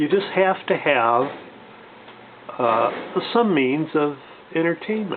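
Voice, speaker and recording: There is noticeable background noise behind the voice. A man speaks at a fairly high pitch with lively intonation. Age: 60s. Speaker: gun and gear video reviewer. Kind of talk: casual show-and-tell review. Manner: halting, many fillers.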